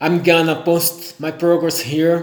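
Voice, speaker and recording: Someone with a Brazilian accent speaks at a very slow pace over noticeable background noise. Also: man. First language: Portuguese. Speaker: language learner. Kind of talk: vlog monologue. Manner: halting, self-correcting.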